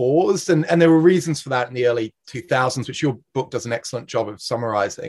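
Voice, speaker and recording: Speaking at a fairly quick pace with an Australian accent, a man has a somewhat breathy voice of medium pitch. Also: dry, close sound with no echo. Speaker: podcast host, energy consultancy director. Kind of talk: interview.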